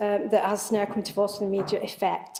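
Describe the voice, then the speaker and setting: Her tone dark and mellow, this woman moves through her words fairly quickly. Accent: northern English. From northern England, Wigan. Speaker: local council service head. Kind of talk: committee meeting report. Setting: council committee meeting. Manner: hesitant, many fillers.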